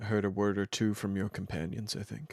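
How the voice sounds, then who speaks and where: A man's put-on character voice, fairly low in pitch, at a fairly quick pace. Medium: actual play. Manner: formal, measured.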